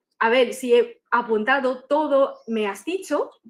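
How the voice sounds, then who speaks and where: With a Chinese accent, a woman speaks in a high pitch. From China. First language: Chinese (speaking Spanish). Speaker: doctoral student presenter. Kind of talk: academic presentation. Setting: conference room, also streamed online. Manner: halting, with frequent fillers.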